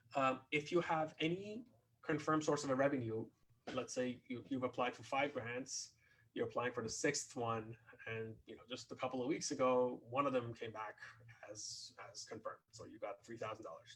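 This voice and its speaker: Loudness swings widely as a man talks at a moderate pace. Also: medium pitch for a man, ordinary pitch variation. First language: not English. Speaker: composer and grant writing presenter. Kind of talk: webinar presentation. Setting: online webinar. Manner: halting, many fillers and repetitions.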